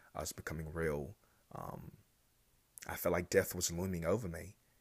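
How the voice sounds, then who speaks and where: This man has a very deep, low voice and an American accent. He talks at a moderate pace on a very clean recording with a silent background. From North Carolina. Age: 20s. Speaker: podcast host. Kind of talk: solo monologue. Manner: halting.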